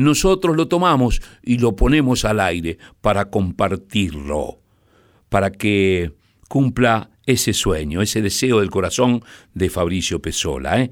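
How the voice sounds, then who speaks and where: A man with a Rioplatense accent, his pitch swinging very widely, loudness very even, pace fairly slow, on a very clean recording with a silent background. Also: fairly low pitch for a man. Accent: Argentine Rioplatense Spanish. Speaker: radio host. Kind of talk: late-night radio presenting.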